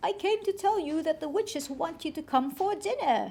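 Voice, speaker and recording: This is a put-on character voice with an extremely high pitch. It runs at a moderate pace. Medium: read story.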